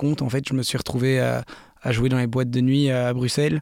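Speech at a moderate pace comes with noticeable background noise underneath. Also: man. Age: 20s. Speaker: DJ and music producer. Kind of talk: interview. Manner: halting.

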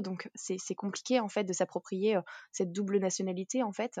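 A woman's dark, mellow tone at a moderate pace, with a dry, close sound with no echo and a quiet background. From France (raised by French family, partly in Martinique). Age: 20s. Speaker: working mother and entrepreneur. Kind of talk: interview conversation.

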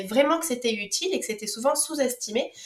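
Noticeable background noise sits behind a woman with a high voice. She speaks at a fairly quick pace with lively intonation. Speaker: podcast host. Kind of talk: casual interview.

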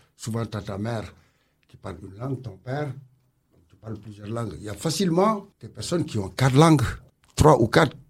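A somewhat breathy man's voice with very wide pitch swings, on a very clean recording with a silent background. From Senegal. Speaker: community centre director. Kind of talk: radio interview.

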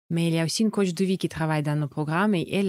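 Her fairly low voice holding fairly even intonation, a woman speaks on a very clean recording with a silent background. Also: dry, close sound with no echo. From Russia, Saint Petersburg. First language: Russian (speaking French). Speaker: entrepreneur, eating-disorder coach. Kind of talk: interview. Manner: hesitant, many fillers.

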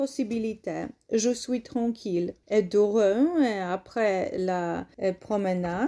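Very slowly and in a Polish accent, a woman speaks at a fairly high pitch in a dark, mellow tone, with ordinary pitch variation. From Poland. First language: Polish (speaking French). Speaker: English teacher, language course founder. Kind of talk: interview. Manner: halting, non-native.

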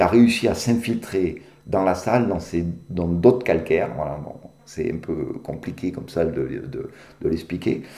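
A man's very deep, low voice, dark and mellow in tone, with audible room echo. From Béarn, southwest France. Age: 60s. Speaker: caver. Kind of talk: interview. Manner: halting, many fillers.

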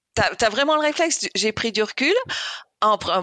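Bright and sharp in tone, a woman speaks at a moderate pace with a dry, close sound and no echo. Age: 50s. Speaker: engineering coach and masters swimmer. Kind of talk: interview. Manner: halting.

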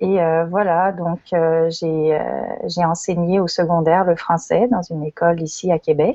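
At a very slow pace and with hardly any pauses, a woman talks in a fairly low pitch with fairly even intonation. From France (Lyon), emigrated to Quebec as adult. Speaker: teacher and education network co-founder. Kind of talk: casual interview.

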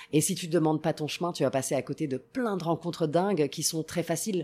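A woman speaks with an Italian accent in a fairly low, dark, mellow voice. Her pitch varies in an ordinary way, on a very clean recording with a silent background. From Italy, Rome. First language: Italian (speaking French). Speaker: travel TV presenter. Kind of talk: casual interview.

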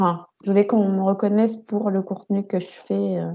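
A woman at a fairly slow pace, in a monotone, flat intonation. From Paris region, France. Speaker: podcast host, book content creator. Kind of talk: casual interview chat.

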